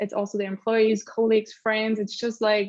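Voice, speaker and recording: This woman talks with a slight German accent. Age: middle-aged. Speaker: accessibility lead at a tech company. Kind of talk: panel discussion.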